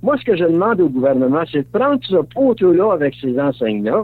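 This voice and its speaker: A man talks at a fairly high pitch, with very wide pitch swings. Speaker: snowmobile trail founder and safety advocate. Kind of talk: interview. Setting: phone call.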